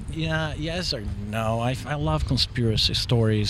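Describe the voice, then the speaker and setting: Over noticeable background noise, a man of medium pitch talks at a moderate pace with a Portuguese accent. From Brazil, São Paulo. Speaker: soccer dad. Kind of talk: casual chat. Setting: brewery.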